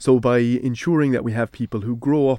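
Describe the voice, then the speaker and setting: Speaking at a moderate pace in a dark, mellow tone, a man with an Irish accent is heard on a very clean recording with a silent background. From Ireland. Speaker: university lecturer in Celtic studies. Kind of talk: radio interview.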